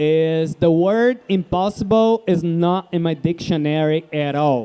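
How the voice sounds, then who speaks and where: With a Portuguese accent, a man speaks very slowly at a high pitch with ordinary pitch variation. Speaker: guest speaker. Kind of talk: live interview.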